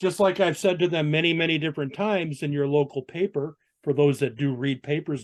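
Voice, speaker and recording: An unremarkable speaking voice from a man, fairly high in pitch, with ordinary pitch variation and a fairly quick pace. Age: 60s. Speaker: biker, motorcycle club member. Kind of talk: casual chat.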